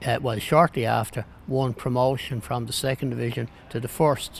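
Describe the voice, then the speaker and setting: In a Dublin accent, a man talks at medium pitch with monotone, flat intonation. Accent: Dublin Irish. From Ireland, Dublin (Ringsend area). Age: 80s+. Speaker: football fan and club historian. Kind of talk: interview testimony. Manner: halting, repeats words.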